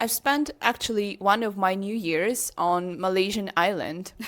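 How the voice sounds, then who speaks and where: Speaking at a fairly slow pace in a Ukrainian accent, a woman has a medium pitch and ordinary pitch variation. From Ukraine. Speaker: international teacher, podcast co-host. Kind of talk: casual chat.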